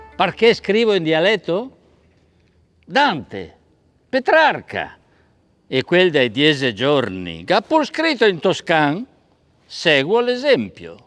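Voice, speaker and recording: Speaking at a very slow pace with long, frequent pauses, a man uses a high pitch and very wide pitch swings against a quiet background. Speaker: stage actor. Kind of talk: poetry reading.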